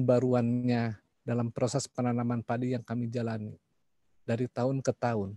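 Against a quiet background, a man speaks at a moderate pace in a dark, mellow tone, the sound dry with no echo. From West Java (Sundanese), Indonesia. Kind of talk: online panel presentation. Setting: video call. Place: home room.

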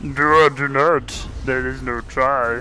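Putting on a character voice, a man of medium pitch speaks at a fairly slow pace against clear background noise. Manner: wise, cryptic.

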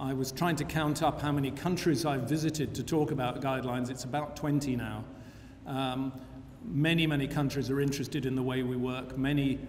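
A man's monotone, flat intonation is heard over light background noise. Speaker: guest lecturer. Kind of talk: lecture. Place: hall. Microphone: podium.

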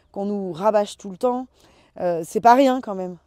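Over a quiet background, a woman speaks in a dark, mellow tone with ordinary pitch variation and a dry sound with no echo. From western France, Loire-Atlantique. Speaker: winemaker. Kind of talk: interview. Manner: hesitant with many fillers. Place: open country.

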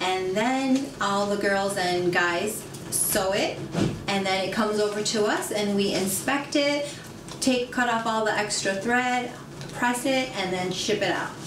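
Over music in the background, a woman talks at a fairly slow pace with ordinary pitch variation. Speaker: factory worker. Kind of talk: interview answer. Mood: friendly, smiling. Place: office. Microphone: camera far.

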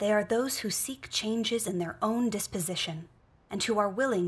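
Here a woman speaks at a moderate pace with ordinary pitch variation. Her voice is somewhat breathy. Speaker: reader in a religious film. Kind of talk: scripture reading aloud. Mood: earnest, solemn. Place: home room.

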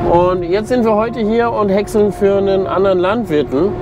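A man speaks against noticeable background noise, the sound dry with no echo. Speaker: farmer vlogger. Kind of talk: casual vlog chat. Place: farm machine. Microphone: lapel.

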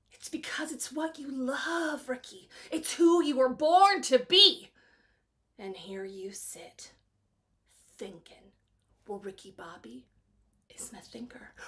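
Speaking with an intense tone at a fairly slow pace, a woman uses a high pitch with very wide pitch swings, big swings in loudness, and long, frequent pauses. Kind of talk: dramatic acting monologue. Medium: voice reel. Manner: intense, rousing, building to fervor.

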